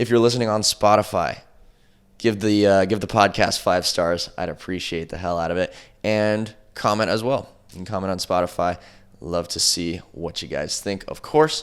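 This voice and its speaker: Recorded very cleanly against a silent background, a man with an ordinary speaking voice talks at a fairly low pitch and a moderate pace, his pitch varying in an ordinary way. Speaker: podcast host and mentor. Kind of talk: solo podcast monologue. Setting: studio, alone in front of camera.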